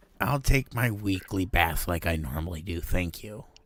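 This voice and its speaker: A man's raspy, put-on character voice, very deep and low in pitch, at a moderate pace. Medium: actual play. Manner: boastful, energetic.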